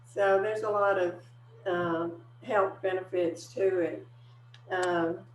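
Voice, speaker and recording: With audible room echo and noticeable background noise, a woman at a fairly low pitch speaks very slowly, with long, frequent pauses and ordinary pitch variation. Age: 70s. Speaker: weight-loss client. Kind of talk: testimony.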